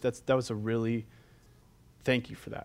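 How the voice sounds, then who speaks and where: Very clean recording of a man, with a silent background. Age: young. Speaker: pastor. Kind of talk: sermon. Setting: church. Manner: loud.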